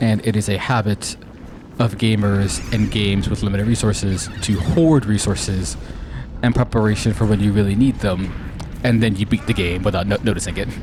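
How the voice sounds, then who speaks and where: There is noticeable background noise as a man speaks fairly quickly in a fairly low voice. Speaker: gaming streamer. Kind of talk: let's play commentary. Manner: halting, repeated words.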